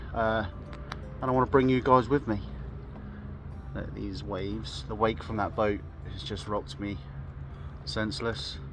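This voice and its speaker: With music in the background, a man with a southern English accent talks at a moderate pace and a fairly low pitch, his pitch swinging very widely and his loudness swinging a lot, with long, frequent pauses. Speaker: vlogger, canoeist. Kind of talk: outdoor vlog narration. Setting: outdoors on a river in a canoe. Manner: casual, hesitant with fillers.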